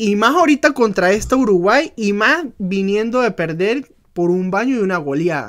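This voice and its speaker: A man's high-pitched, animated voice with lively intonation. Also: moderate pace, quiet background. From Venezuela. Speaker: football podcast co-host. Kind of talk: casual chat. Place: home room. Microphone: studio mic.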